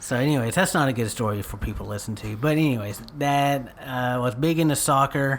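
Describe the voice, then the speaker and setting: A man with an East Texas accent, medium pitch, at a moderate pace. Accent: East Texan. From East Texas, Paris. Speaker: local community figure. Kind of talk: casual chat.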